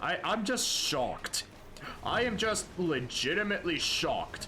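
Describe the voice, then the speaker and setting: A man speaks fairly slowly with very wide pitch swings. Audible room echo and noticeable background noise surround his voice. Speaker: gaming streamer. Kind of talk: casual live gameplay commentary. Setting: livestream. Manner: animated, excitable; stammering, repeats words.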